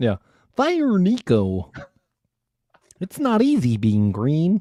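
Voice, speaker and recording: A man speaks very slowly in a high, put-on character voice. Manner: puppet-like, cheerful.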